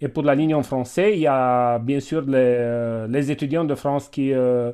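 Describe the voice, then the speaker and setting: A man's medium-pitched voice in a Romanian accent, dark and mellow in tone, at a fairly slow pace with fairly even intonation, over a quiet background. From Romania, Transylvania (Cluj). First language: Romanian (speaking French). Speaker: doctor and university teacher. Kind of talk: webinar discussion. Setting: video call. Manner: halting.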